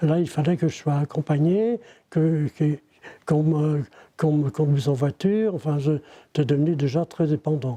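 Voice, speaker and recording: A man's somewhat breathy, dark and mellow voice, fairly high-pitched for a man, at a fairly slow pace with ordinary pitch variation and very even loudness, in a dry, close sound with no echo. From Ille-et-Vilaine, Brittany, France. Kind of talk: interview answer. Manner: hesitant.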